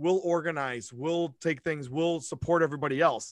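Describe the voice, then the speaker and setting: Over a quiet background, a man with an ordinary speaking voice speaks at a moderate pace and a fairly high pitch. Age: 40s. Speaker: school principal. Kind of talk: casual interview chat.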